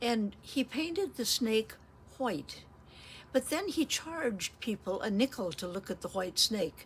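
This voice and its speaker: This woman speaks with an American accent at a fairly slow pace, her voice fairly high and somewhat breathy. Her pitch swings very widely. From Blue River, US small town. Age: 80s+. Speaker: elderly storyteller. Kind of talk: oral history storytelling. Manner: halting, with many fillers.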